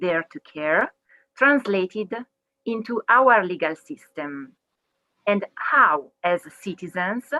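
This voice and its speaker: With an Italian accent, a woman speaks very slowly in a bright, sharp tone, her pitch swinging very widely between long, frequent pauses, all in a dry, close sound with no echo. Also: medium pitch for a woman. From Italy, Milan. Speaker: legal researcher. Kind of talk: webinar talk.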